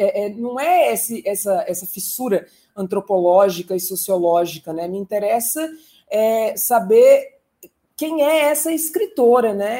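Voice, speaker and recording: A woman talks fairly slowly with a fairly high pitch and very wide pitch swings. Her tone is dark and mellow. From São Paulo state, Brazil. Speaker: poet, translator and teacher. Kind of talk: casual chat. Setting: video call.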